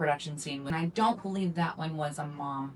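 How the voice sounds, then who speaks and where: The woman speaks at a fairly quick pace. Noticeable background noise runs behind her. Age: 50s. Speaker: adult film performer and podcast co-host. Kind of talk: casual chat.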